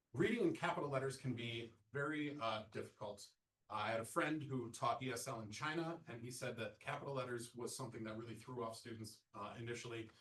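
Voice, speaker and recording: The voice moves at a fairly quick pace with ordinary pitch variation, and audible room echo surrounds it. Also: man, medium pitch for a man. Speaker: accessibility trainer. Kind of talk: lecture. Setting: presentation room with audience and Zoom. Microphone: sound issues for Zoom listeners.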